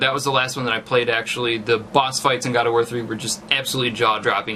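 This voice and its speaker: A man rattles along at a very fast pace with noticeable background noise around him. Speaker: gaming YouTuber. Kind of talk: casual commentary. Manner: halting, many fillers.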